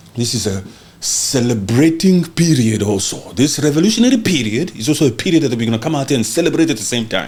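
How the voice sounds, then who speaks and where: Lively intonation drives a very fast pace over noticeable background noise. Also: man, medium pitch for a man. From Central Africa (Congo). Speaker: podcast host. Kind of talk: heated political commentary. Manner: loud; animated.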